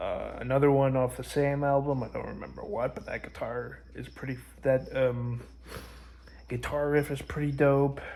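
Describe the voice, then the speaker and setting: Quietly and at a moderate pace, a man speaks with a fairly high pitch. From Canada. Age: 20s. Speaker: music vlogger. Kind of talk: casual vlog monologue. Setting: at grandma's house. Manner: halting, many fillers; kept down, quiet.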